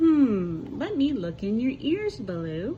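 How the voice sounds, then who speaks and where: In a put-on character voice, a female-sounding speaker goes high for a woman with very wide pitch swings, talking at a fairly slow pace over clear background noise. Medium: read story. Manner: kind, motherly.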